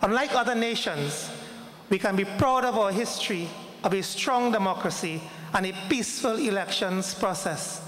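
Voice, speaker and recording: With a Trinidadian accent, a high-pitched man talks at a moderate pace with ordinary pitch variation, amid noticeable background noise and audible room echo. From Trinidad and Tobago. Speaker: ambassador. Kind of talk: formal speech. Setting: hall with audience.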